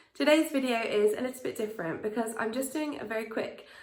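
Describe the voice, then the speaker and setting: In a room with audible echo, a woman with a fairly high pitch talks at a very fast pace with lively intonation. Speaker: vlogger. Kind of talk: casual vlog talk.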